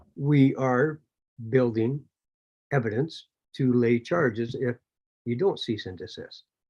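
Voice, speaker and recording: At a fairly slow pace, a man speaks at a medium pitch with ordinary pitch variation and long, frequent pauses. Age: 60s. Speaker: activist chapter leader. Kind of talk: video call interview.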